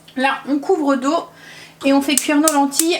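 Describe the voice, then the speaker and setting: A woman talks at an unhurried, moderate speed while noticeable background noise carries on behind her. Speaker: family vlogger, mother. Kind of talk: cooking vlog tutorial.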